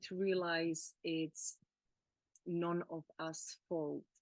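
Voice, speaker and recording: Recorded with a dry, close sound and no echo, a woman with a Czech accent speaks at a fairly low pitch. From Czech Republic. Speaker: emotional healing coach. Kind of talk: casual chat. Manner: halting.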